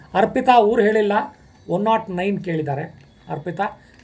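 A man talks with ordinary pitch variation. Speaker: spiritual guidance channel host. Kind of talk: devotional Q&A monologue.

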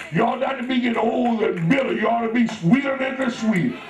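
Clear music plays in the background and audible room echo carries a man's extremely high voice, which shows ordinary pitch variation. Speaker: pastor. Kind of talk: sermon. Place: church. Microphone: pa.

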